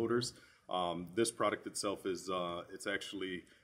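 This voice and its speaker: A man speaks with a plain, everyday voice at a fairly low pitch, his pitch varying in an ordinary way. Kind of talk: interview answer. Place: shop.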